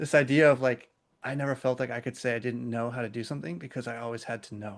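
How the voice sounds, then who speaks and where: An American-accented man talks at a fairly quick pace with medium pitch in an ordinary speaking voice. The background is quiet. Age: 30s. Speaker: podcast host. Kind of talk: casual chat.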